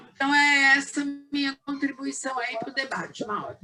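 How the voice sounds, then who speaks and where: The voice is raised and projected, with a bright, sharp tone. It moves at a fairly slow pace. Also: woman. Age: 60s. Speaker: spiritist center member. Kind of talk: group discussion.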